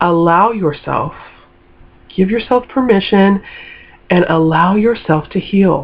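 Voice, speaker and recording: A woman speaks at a fairly slow pace in a medium pitch, with long, frequent pauses. Her tone is animated, her pitch variation ordinary, and her loudness very even. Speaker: lifestyle vlogger. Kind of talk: casual motivational monologue.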